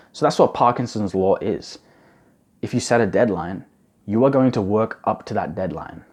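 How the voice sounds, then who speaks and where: Lively intonation runs through a man's fairly low-pitched voice. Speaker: study advice youtuber. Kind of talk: tutorial. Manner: fast; casual.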